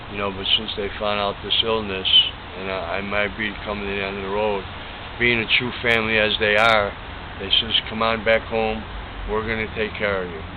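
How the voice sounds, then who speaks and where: Fairly low in pitch, a man talks at a moderate pace in a monotone, flat delivery. Audible room echo and noticeable background noise fill the recording. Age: 60s. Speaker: cancer patient interviewee. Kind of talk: interview.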